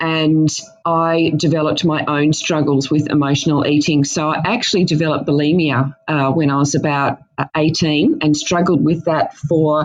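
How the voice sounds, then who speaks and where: A woman with an Australian accent speaks at a fairly slow pace in a very deep, low pitch. Music plays in the background. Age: 50s. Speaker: dietitian. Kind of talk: interview. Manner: halting, many fillers.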